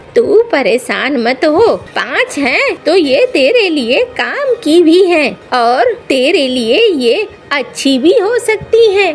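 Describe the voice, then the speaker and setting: A cartoonish character voice, female-sounding and extremely high-pitched for a woman, swings very widely in pitch at a fairly slow pace over clear background noise. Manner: scolding, exclamatory.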